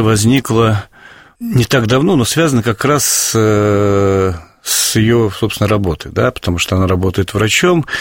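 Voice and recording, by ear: At a moderate pace, a man talks in a fairly low pitch with ordinary pitch variation.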